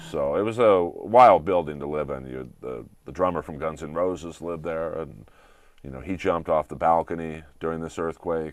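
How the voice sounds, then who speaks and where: In a Californian accent, a man talks with a very deep, low pitch and ordinary pitch variation. His pace is moderate, and his loudness swings widely. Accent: General American (Californian). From Southern California. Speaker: comedian and voice actor. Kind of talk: interview chat. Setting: studio.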